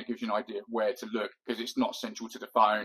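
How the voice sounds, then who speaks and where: A man's very fast, monotone delivery at a medium pitch. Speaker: YouTuber giving advice. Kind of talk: tutorial. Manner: loud.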